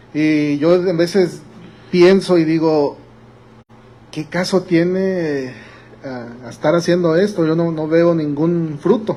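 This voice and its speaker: A man's high voice, very slow and fairly even in intonation, broken by long, frequent pauses, with noticeable background noise and audible room echo. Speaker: pastor. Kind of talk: sermon. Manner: halting.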